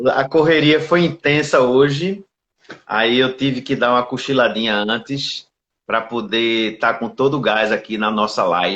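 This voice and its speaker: Speaking at a fairly slow pace with a Pernambuco accent, this man has a medium pitch and ordinary pitch variation. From Recife, Pernambuco, Brazil. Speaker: labour judge. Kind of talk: live stream interview.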